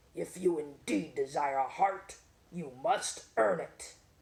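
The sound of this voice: This gruff, put-on character voice sits at a middle pitch and moves at a fairly slow pace.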